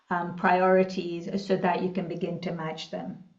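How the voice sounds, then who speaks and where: Audible room echo surrounds a woman speaking at a moderate pace and medium pitch. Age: 60s. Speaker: executive coach. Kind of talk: interview. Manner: hesitant, many fillers.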